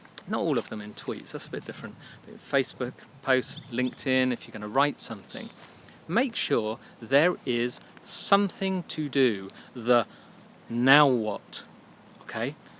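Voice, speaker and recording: In an English accent, the speaker uses lively intonation and big swings in loudness. Long pauses come often. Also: man, medium pitch for a man. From England. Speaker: marketing podcast host. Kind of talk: casual solo podcast. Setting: outdoors by a duck pond. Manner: casual, chatty with fillers.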